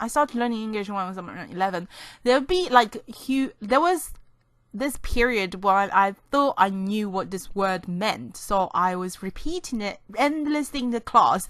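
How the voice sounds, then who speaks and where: A woman's fairly high voice at a moderate pace. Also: lively intonation, quiet background. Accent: non-native. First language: not English. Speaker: gaming YouTuber. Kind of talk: gameplay commentary. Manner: rambling, self-correcting.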